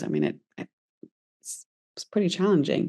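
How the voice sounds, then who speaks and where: A woman's dark, mellow tone with a British accent. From UK. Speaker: entrepreneur. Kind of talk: interview. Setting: podcast.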